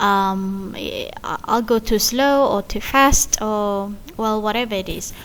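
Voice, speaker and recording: A woman talks very slowly, and her pitch varies in an ordinary way. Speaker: university lecturer. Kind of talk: recorded lecture. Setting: recorded online lecture. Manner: clear, careful enunciation.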